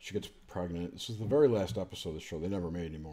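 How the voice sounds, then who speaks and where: A quiet man's voice, very deep and low in pitch, dark and mellow in tone, with lively intonation. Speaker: podcast host. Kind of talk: casual chat. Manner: quiet, low talking. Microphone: too quiet, sitting far from the mic.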